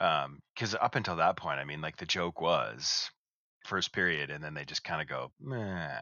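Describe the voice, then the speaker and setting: A man speaks with a very deep, low pitch, lively intonation, and vocal fry. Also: moderate pace. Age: 40s. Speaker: podcast co-host. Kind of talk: casual chat.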